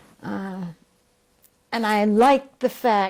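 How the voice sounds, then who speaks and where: Woman's voice of medium pitch, dark, mellow tone and ordinary pitch variation. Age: 80s+. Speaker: WWII veteran. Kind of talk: oral history interview. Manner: halting.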